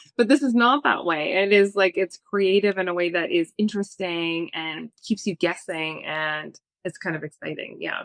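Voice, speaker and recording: Dry and close with no echo, a woman speaks at a moderate pace with a slight East Coast US accent and ordinary pitch variation. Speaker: film reviewer. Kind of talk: casual chat. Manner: animated.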